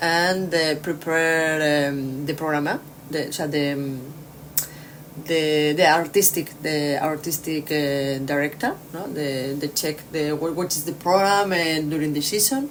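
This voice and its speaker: Over noticeable background noise, a woman with a very deep, low voice talks at a fairly slow pace with fairly even intonation. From Spain. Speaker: orchestra conductor. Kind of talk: interview. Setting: hotel room. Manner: halting, many fillers.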